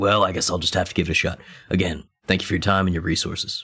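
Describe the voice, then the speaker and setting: In a put-on character voice, a man rattles along at a very fast pace, raspy, very deep and low, with monotone, flat intonation. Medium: actual play. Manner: folksy, wry.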